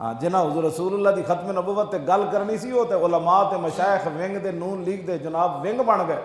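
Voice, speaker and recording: A man speaks at a high pitch with ordinary pitch variation. Noticeable background noise runs behind him. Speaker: Islamic scholar. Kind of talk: religious sermon.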